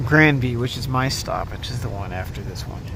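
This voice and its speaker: Noticeable background noise runs through the clip. The delivery keeps a moderate pace. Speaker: vlogger. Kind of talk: travel vlog narration. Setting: on a train.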